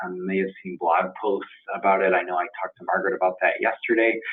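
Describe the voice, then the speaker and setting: Fairly quick and fairly low-pitched, a man speaks with fairly even intonation. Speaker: vendor account representative presenting a webinar. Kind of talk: webinar presentation. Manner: fast; many filler ums.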